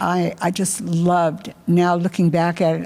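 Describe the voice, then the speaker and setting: A woman of fairly low pitch at a fairly slow pace, with noticeable background noise. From Germany, raised in Philadelphia and Los Angeles from age 11. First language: German. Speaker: volunteer ESL tutor. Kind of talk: interview testimony.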